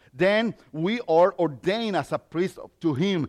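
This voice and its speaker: A man speaks very slowly at a high pitch with ordinary pitch variation, in a Mexican accent. The sound is dry and close with no echo. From Mexico. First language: Spanish. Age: 50s. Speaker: lay preacher. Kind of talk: sermon. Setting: church.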